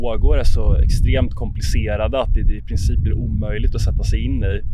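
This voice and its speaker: A man speaks at a fairly quick pace with hardly any pauses. Audible room echo and noticeable background noise are present. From Sweden, Jönköping. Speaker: podcast host. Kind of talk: casual discussion.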